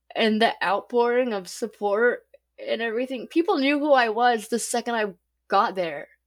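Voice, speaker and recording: A woman with an American accent, fairly high pitch, ordinary pitch variation and moderate pace, an unremarkable speaking voice. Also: very clean recording, silent background. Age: 30s. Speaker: murder victim's daughter. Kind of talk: interview testimony. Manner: casual with fillers.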